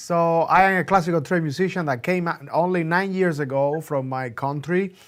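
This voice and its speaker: With a Cuban accent, a man talks at a fairly quick pace in a high pitch, on a very clean recording with a silent background. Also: ordinary pitch variation. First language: Spanish. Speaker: classical musician and producer. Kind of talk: interview. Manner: animated.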